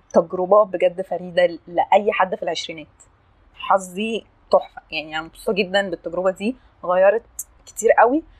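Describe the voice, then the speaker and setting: A woman's animated voice at medium pitch and moderate pace, with big swings in loudness, ordinary pitch variation, and a dry, close sound with no echo. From Egypt (Upper Egypt, Assiut). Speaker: podcast guest sharing life story. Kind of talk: casual interview, personal testimony.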